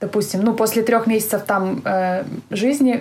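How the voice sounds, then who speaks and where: A woman speaks with a dark, mellow tone. Her voice is somewhat breathy, with fairly even intonation. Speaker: emigrant entrepreneur. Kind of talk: casual interview. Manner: hesitant, many fillers.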